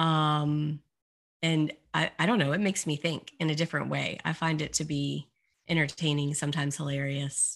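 In a very clean recording with a silent background, a woman speaks at a moderate pace in a monotone, flat intonation with a very deep, low pitch. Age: 40s. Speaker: life coach and business founder. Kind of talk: podcast interview.

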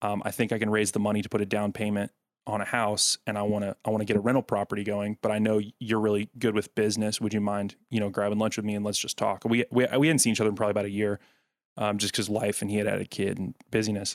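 Very fast, flat, monotone speech from a man at fairly low pitch, dry and close with no echo, in a very clean recording with a silent background. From US South, Rutherford County, Tennessee. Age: 20s. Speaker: podcast engineer and co-host. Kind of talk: casual interview.

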